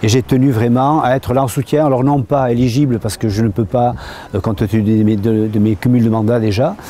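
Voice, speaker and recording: This man has an ordinary speaking voice at a medium pitch, with ordinary pitch variation. He talks at a fairly quick pace with very even loudness. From French Basque Country. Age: 60s. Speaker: mayor. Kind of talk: interview testimony.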